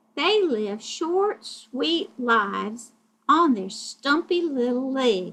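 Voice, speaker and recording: Speaking very slowly, a woman uses a put-on character voice pitched high. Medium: read story.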